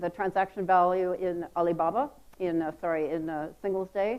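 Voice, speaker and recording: A woman speaks at a moderate pace with an American accent. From United States. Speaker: marketing executive. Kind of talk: conference talk. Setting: stage with audience.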